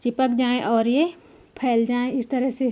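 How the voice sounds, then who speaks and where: A woman speaks at a high pitch with a dark, mellow tone and fairly even intonation. The recording is very clean, with a silent background. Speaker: cooking channel host. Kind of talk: cooking tutorial. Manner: conversational, repetitive.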